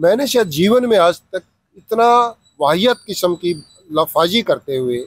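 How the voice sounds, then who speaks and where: With lively intonation, a man talks in a high pitch. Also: dry, close sound with no echo. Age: 60s. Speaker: writer and social activist. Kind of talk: interview. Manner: halting, with fillers.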